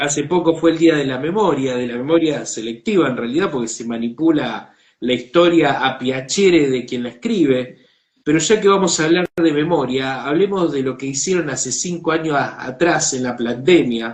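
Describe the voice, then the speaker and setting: A plain, everyday voice at a moderate pace. The pitch varies in an ordinary way. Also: man, fairly high pitch for a man. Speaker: online show host. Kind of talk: interview.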